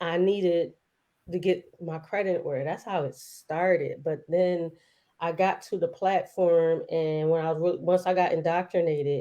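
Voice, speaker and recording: The delivery is monotone and flat, at a moderate pace, with a dark, mellow tone. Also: woman, fairly low pitch for a woman. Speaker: entrepreneur and wealth educator. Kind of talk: interview. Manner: casual, conversational.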